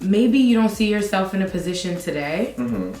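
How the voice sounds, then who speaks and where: A woman's medium-pitched voice at a moderate pace, lively in intonation, with music in the background. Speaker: TV news reporter and anchor. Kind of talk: interview answer. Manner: casual, conversational.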